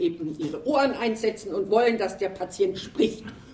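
Through noticeable background noise, a woman speaks loudly at a fairly slow pace. Her pitch is fairly high. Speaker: retired sociology professor. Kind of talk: panel discussion.

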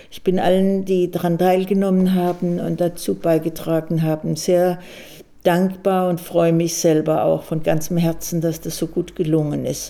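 A woman speaks with a fairly low pitch and a dark, mellow tone. Her delivery is monotone and flat at a moderate pace. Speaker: retired psychiatrist, memorial initiator. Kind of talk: personal account recorded for radio.

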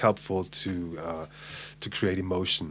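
The recording is very clean, with a silent background. A man with a German accent speaks at a fairly slow pace. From Hamburg, Germany. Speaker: English teacher. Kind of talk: casual chat.

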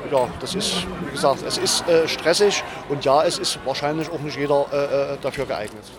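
Noticeable background noise runs behind the speaker. He is a man with a fairly high pitch. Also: ordinary pitch variation, moderate pace. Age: 50s. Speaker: bus driver. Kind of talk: interview. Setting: outdoors. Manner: halting.

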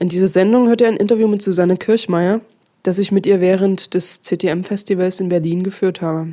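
A dark, mellow tone with fairly even intonation at a moderate pace. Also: woman, medium pitch for a woman. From Dresden, Saxony. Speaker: radio host. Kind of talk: radio presentation.

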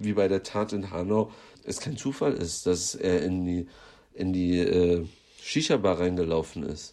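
With a dark, mellow tone, a man delivers his words at a fairly slow pace. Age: young. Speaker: activist. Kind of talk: pre-recorded interview answer. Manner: halting with repetitions.

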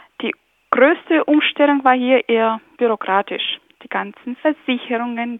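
A high-pitched woman's voice at a fairly slow pace, with ordinary pitch variation. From Ukraine. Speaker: blogger. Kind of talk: interview.

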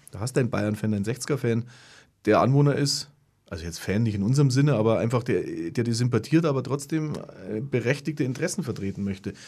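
A man with a dark, mellow tone, somewhat breathy, at a medium pitch with ordinary pitch variation and a very fast pace, on a very clean recording with a silent background. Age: 50s. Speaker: community radio host. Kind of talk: radio panel discussion. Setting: radio studio.

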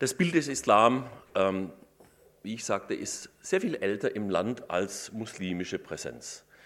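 A man's medium-pitched voice, very slow in pace, with lively intonation. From Württemberg, Stuttgart area. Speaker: professor of Islamic studies and law. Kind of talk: lecture.

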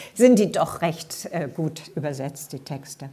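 A somewhat breathy, dark, mellow voice at a very slow pace. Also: woman. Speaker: author. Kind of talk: book reading; talk.

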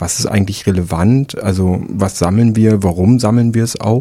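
A man with a dark, mellow tone and a fairly low pitch is heard in a very clean recording with a silent background. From Rostock area, northern Germany. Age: 30s. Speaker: archivist, political educator. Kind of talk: radio interview. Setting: radio studio.

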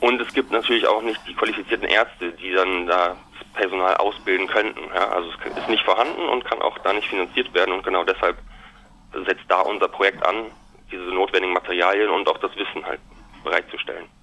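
A man talks at a fairly quick pace with noticeable background noise around him. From Germany, Münster (Westphalia). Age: 30s. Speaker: business student. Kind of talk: interview.

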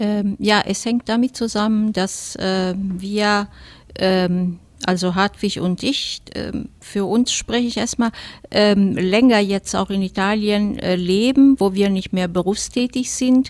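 Speaking at a very slow pace, a woman keeps a medium pitch and fairly even intonation. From Italy, Rome. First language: Italian (speaking German). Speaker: retired teacher. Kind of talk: studio interview. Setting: radio studio.

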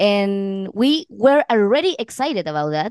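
A woman talks at a very slow pace with a Chilean accent and medium pitch. The sound is dry and close with no echo, and the background is quiet. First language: Spanish. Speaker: actress and singer in a band. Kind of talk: casual interview. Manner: halting, with fillers.

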